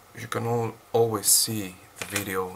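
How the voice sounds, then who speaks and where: Over noticeable background noise, a man speaks fairly slowly at a fairly low pitch. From Greece. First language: Greek. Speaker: fitness vlogger. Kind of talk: casual vlog unboxing. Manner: halting, many fillers.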